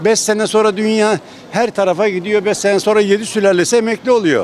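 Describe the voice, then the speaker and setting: With crowd noise in the background, a man speaks at a high pitch in a dry sound with no echo. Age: 60s. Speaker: street interviewee; interviewee. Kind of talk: street interview. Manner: sarcastic. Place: street. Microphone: handheld.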